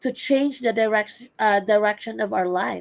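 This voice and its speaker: With a fairly high pitch, a woman talks with ordinary pitch variation. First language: not English. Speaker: entrepreneur, healthcare worker. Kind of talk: personal testimony in online webinar.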